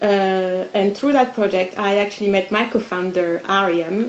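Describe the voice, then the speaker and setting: A woman with a French accent speaks at a medium pitch and moderate pace, with fairly even intonation over noticeable background noise. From France. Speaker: podcast co-founder. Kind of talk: panel discussion.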